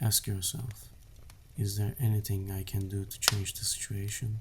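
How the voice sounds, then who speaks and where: Soft-spoken and somewhat breathy, this man talks at a fairly slow pace with a fairly low pitch and fairly even intonation. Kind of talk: book summary narration.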